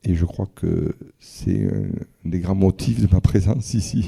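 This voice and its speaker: A man speaks at a very slow pace with a very deep, low pitch and vocal fry. His tone is dark and mellow, with ordinary pitch variation. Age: 50s. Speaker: visually impaired father, guest. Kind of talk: testimony in public conversation. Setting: stage with audience.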